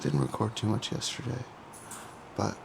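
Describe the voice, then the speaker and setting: There is noticeable noise in the background. The voice is quiet. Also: man. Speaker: bodybuilder vlogger. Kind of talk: casual vlog.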